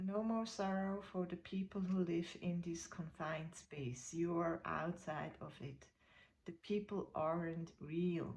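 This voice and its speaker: Somewhat breathy and very slow, the speaker talks with a non-native accent and fairly even intonation. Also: woman. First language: not English. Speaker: spiritual content creator. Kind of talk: reading aloud. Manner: halting.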